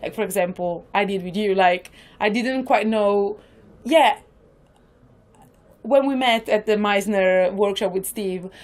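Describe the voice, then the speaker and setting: In a very clean recording with a silent background, a woman speaks at medium pitch with an Italian accent. Her pace is fairly slow, with ordinary pitch variation and long, frequent pauses. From northern Italy. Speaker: improviser. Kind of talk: podcast interview. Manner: talkative.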